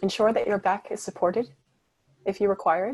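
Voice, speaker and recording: On a very clean recording with a silent background, a soft-spoken woman talks at a fairly quick pace and medium pitch with ordinary pitch variation. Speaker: meditation guide. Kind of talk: guided meditation.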